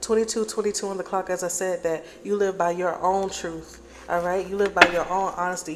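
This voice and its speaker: Over noticeable background noise, a woman talks fairly quickly at a medium pitch in a flat monotone. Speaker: tarot reader. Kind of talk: collective tarot reading. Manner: fast.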